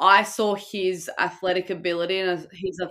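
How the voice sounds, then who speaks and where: Fairly even intonation and a fairly low pitch characterize this woman's speech. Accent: Australian. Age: 20s. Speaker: professional water polo player. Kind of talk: interview.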